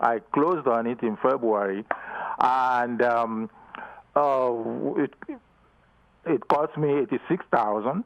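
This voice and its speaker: Speaking very slowly with long, frequent pauses, a man talks with a slight Nigerian accent. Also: medium pitch for a man, ordinary pitch variation. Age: 70s. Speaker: caller. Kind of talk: phone-in conversation. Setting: phone call. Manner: halting.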